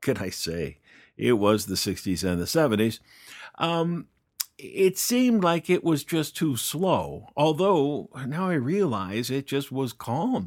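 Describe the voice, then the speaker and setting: A man with an American accent speaks very slowly at a fairly high pitch, his voice swinging very widely in pitch, on a very clean recording with a silent background. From US, northern Colorado (Fort Collins). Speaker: podcaster. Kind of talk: personal storytelling monologue. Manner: casual with frequent hesitations.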